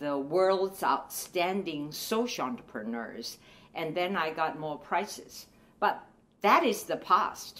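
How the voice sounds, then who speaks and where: A woman talks with a Chinese accent and a fairly low pitch. Her intonation is lively. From China. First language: Mandarin Chinese. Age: 80s. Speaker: retired professor and women's rights activist. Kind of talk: testimony. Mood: earnest, calm conviction. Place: home room.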